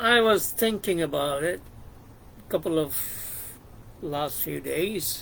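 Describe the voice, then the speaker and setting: At a very slow pace, a man with a fairly high pitch and lively intonation speaks with long, frequent pauses. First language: Bengali. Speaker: YouTuber discussing psychology and philosophy. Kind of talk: reflective monologue. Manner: halting, many fillers.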